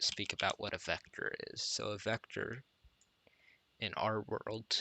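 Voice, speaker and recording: Quiet and monotone, with flat intonation, a man speaks at a moderate pace and a fairly low pitch. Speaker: programming tutor streamer. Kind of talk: live-streamed tutorial. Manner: quiet, subdued; flat, low energy.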